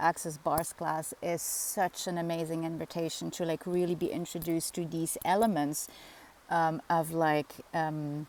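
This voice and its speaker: With a Dutch accent, a woman speaks in a fairly low, dark and mellow tone. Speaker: spiritual facilitator. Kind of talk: casual vlog monologue. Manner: halting, many fillers.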